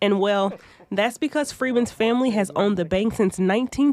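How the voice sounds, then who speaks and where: A plain, everyday voice with lively intonation. The pace is fairly quick. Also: woman. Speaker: TV news reporter. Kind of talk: TV news report narration.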